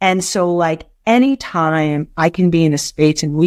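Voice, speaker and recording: A woman with an American accent has a normal speaking voice, fairly low in pitch, with ordinary pitch variation. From US West Coast, San Francisco. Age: 50s. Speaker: nonprofit executive. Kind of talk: interview. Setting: remote interview from her office.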